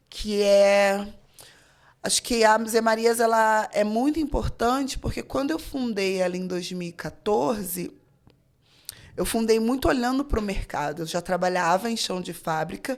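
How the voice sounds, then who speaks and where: A normal speaking voice moves at a fairly slow pace with lively intonation. The recording is very clean, with a silent background. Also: woman, fairly high pitch for a woman. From Rio de Janeiro, Brazil. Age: 30s. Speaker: fashion designer and teacher. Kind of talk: casual interview chat.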